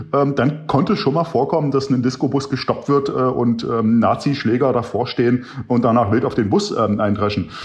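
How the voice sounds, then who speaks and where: Against noticeable background noise, a man's ordinary pitch variation comes through as he talks at a moderate pace. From eastern Germany, Wittenberg, Saxony-Anhalt. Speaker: political scientist. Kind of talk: interview. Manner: frequent hesitations (äh, ähm).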